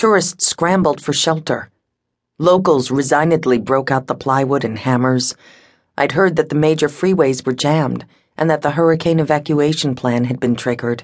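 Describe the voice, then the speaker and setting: A woman's very deep, low voice at a moderate pace, with ordinary pitch variation, very even loudness and a quiet background. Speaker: audiobook narrator. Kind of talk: audiobook dramatic narration, first-person.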